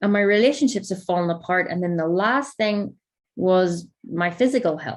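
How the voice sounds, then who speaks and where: Speaking at a moderate pace with a Northern Irish accent, a woman talks at a medium pitch with ordinary pitch variation. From Northern Ireland. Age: 30s. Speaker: life coach. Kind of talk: masterclass talk to audience.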